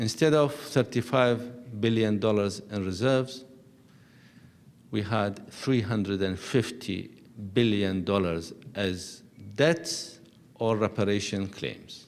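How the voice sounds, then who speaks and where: Amid audible room echo, a man talks at a very slow pace in a fairly low pitch with ordinary pitch variation. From Iraq, Baghdad. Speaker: ambassador. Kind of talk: lecture.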